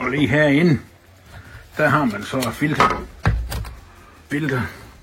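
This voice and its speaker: There is audible room echo and noticeable background noise as a man with a fairly high voice speaks at a very slow pace with ordinary pitch variation. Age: 60s. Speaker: customer reviewer, tool enthusiast. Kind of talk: product review demonstration. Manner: casual, chatty.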